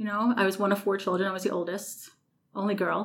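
A woman talks at a fairly quick pace with a medium pitch. It is an ordinary speaking voice. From New York City. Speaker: maintenance director. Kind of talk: interview.

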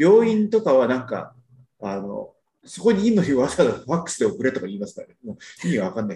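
A man with a fairly high pitch and a dark, mellow tone speaks at a very fast pace with vocal fry. His pitch swings very widely and his loudness shifts in big swings. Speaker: podcast panelist. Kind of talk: casual chat. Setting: video call.

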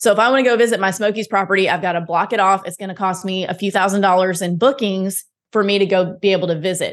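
Very fast speech from a woman at medium pitch, with fairly even intonation and hardly any pauses. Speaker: podcast host and real estate investor. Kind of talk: casual interview.

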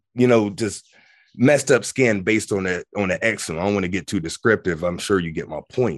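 A man speaks in an ordinary speaking voice, fairly low in pitch, with ordinary pitch variation and a fairly quick pace. The sound is dry and close with no echo, against a quiet background. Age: 40s. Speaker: spiritual teacher. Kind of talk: casual chat.

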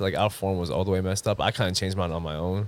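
Someone talks very fast with a New York accent on a very clean recording with a silent background. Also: man. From Long Island, New York. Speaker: basketball referee. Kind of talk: casual chat.

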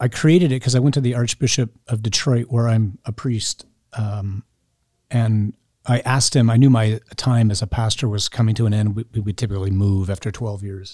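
A man with a medium-pitched, somewhat breathy voice talks at a fairly quick pace with ordinary pitch variation, the sound dry and close with no echo. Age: 50s. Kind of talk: interview.

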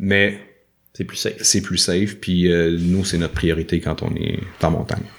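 A man's very deep, low pitch, flat and monotone, at a fairly slow pace. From Quebec, Laurentides. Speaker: hiker and adventurer. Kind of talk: casual interview.

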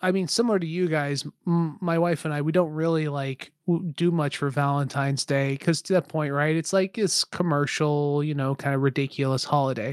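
The man talks at a fairly quick pace with hardly any pauses and ordinary pitch variation. The recording is very clean, with a silent background. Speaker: guest. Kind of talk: casual chat.

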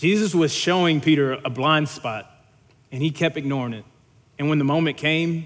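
A man with a Louisiana accent, fairly high-pitched, with ordinary pitch variation. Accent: Southern US (Louisiana). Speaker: young adult ministry leader preaching. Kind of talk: sermon. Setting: church stage.

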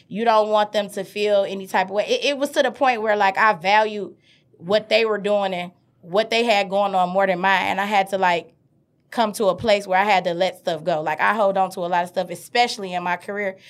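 On a very clean recording with a silent background, a woman with an American accent speaks fairly quickly at a medium pitch with fairly even intonation. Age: 30s. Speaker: teacher and entrepreneur. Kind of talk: casual interview chat. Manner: loud.

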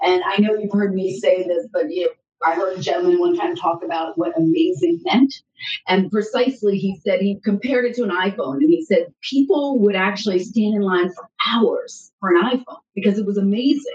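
A woman with an American accent speaks at a fairly quick pace and medium pitch. Her somewhat breathy voice makes very wide pitch swings. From southern Maryland, US. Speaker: sports union executive. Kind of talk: interview.

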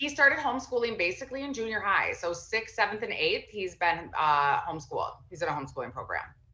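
Bright and sharp, a woman's fairly high voice races at a very fast pace with hardly any pauses, very wide pitch swings and vocal fry. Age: 30s. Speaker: entrepreneur and mother. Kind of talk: casual chat.

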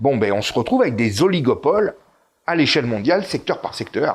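Lively in intonation and fairly quick, this is an unremarkable speaking voice. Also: man. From Corsica and Italy. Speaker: author and YouTuber. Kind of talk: interview.

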